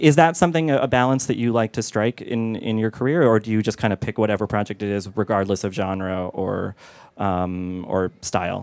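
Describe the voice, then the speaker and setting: A man with a normal speaking voice, fairly low in pitch, with ordinary pitch variation and a moderate pace, in a dry, close sound with no echo. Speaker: film critic moderator. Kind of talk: moderated panel Q&A. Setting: stage with audience.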